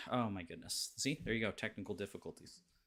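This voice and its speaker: A man with a Canadian accent speaks at a fairly quick pace. His tone is bright and sharp, and his intonation is lively. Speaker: podcast host. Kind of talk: casual chat. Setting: live stream video call.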